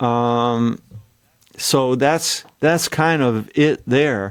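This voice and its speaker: On a very clean recording with a silent background, a man speaks at a very slow pace. His pitch is medium and his intonation fairly even. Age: 70s. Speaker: songwriter. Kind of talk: interview. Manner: halting, frequent restarts.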